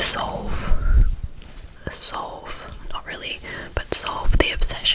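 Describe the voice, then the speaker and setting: Whispering in a gentle tone, a woman speaks over noticeable background noise. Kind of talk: ASMR reassurance talk. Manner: soft-spoken, gentle.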